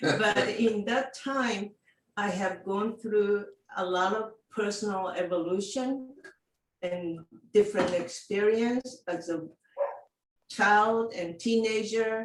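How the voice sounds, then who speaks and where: Speaking in a Japanese accent, a woman uses a medium pitch with ordinary pitch variation at a very slow pace, leaving long, frequent pauses. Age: 70s. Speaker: living library volunteer. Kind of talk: personal introduction. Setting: video call.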